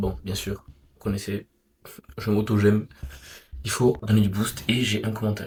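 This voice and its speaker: Soft-spoken and somewhat breathy, the voice moves at a fairly slow pace with fairly even intonation, big swings in loudness, and long, frequent pauses. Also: man, fairly low pitch for a man. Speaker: vlogger. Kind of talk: personal vlog.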